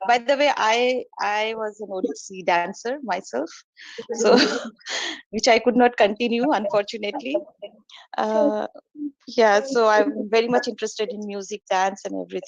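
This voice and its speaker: A woman's fairly high voice with an Indian accent, moderate pace, big swings in loudness, and long, frequent pauses. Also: ordinary pitch variation. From India, Kolkata. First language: Hindi. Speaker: meditation practitioner and student. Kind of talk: testimony in online meeting. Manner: halting.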